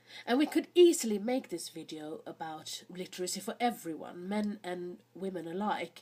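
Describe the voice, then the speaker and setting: A woman's somewhat breathy voice at medium pitch, fairly slow pace and ordinary pitch variation. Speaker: history video host. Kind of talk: educational talk.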